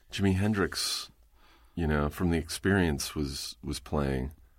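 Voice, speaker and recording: In a very clean recording with a silent background, a man with an American accent speaks at a moderate pace in a very deep, low pitch, with ordinary pitch variation and vocal fry. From Southern California, Riverside. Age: 40s. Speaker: podcast host, comedian. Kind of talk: casual chat. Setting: studio. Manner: halting, many fillers.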